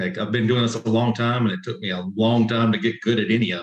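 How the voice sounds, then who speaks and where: This man speaks with a Southern US accent at a fairly quick pace. His pitch sits at a medium level. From South Carolina. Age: 50s. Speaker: competition barbecue pitmaster. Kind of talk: casual interview.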